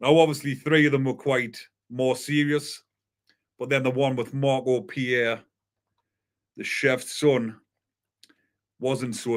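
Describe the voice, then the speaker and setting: With a North East England accent, a man speaks at a fairly slow pace and a medium pitch. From northern England, County Durham. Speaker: YouTube crime news host. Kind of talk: live stream commentary. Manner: slow, deliberate.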